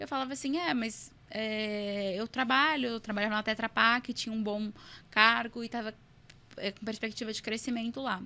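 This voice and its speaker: A woman speaks at a moderate pace in a fairly high, bright, sharp voice. Her intonation is fairly even. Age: 20s. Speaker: entrepreneur. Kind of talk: podcast interview.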